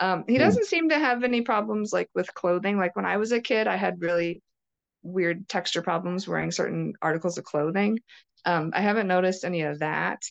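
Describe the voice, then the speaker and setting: Delivered at a fairly quick pace in a normal speaking voice, the recording sounds dry and close with no echo over a quiet background. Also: woman, medium pitch for a woman. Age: 30s. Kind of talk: interview testimony.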